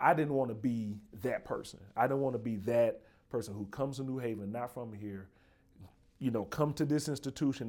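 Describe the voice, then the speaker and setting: The speaker has a Southern US accent and ordinary pitch variation. The recording is very clean, with a silent background. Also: man. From Birmingham, Alabama. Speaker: podcast host, university dean. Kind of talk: casual interview.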